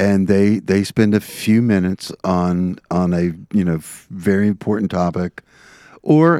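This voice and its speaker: A man speaks with a very deep, low pitch and a dark, mellow tone, his intonation fairly even. The sound is dry and close with no echo, in a very clean recording with a silent background. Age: 60s. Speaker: podcast co-host. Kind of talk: casual chat.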